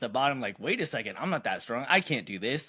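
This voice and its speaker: On a very clean recording with a silent background, a man speaks very fast with lively intonation, vocal fry, and a bright, sharp tone. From Canada. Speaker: powerlifting podcast host. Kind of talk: casual chat.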